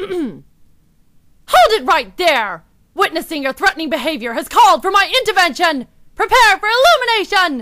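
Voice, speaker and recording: A female-sounding, put-on character voice at an extremely high pitch, delivered at a moderate pace. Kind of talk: dramatic heroine speech.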